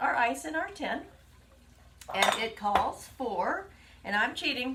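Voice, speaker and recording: A woman with an American accent, high-pitched and raised, projected, with very wide pitch swings, a fairly slow pace, long, frequent pauses, and noticeable background noise. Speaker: home cooking livestream host. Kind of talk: live cooking demonstration.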